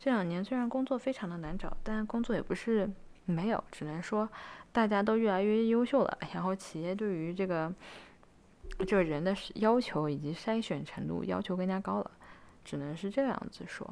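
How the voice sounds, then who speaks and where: The voice moves at a moderate pace. Its pitch varies in an ordinary way. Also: woman, medium pitch for a woman. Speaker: student vlogger. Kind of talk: casual advice talk to camera. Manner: frequent fillers and hesitations.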